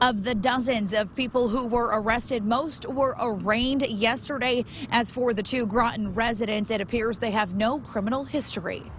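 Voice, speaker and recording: A woman with an American accent speaks at a fairly high pitch with hardly any pauses. Noticeable background noise is present. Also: moderate pace. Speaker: TV news reporter and anchor. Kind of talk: live field news report.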